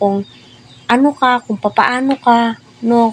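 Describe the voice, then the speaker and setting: Very slowly and in a monotone, flat way, a woman talks with a fairly high pitch. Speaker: showbiz commentary vlogger. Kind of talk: casual commentary monologue.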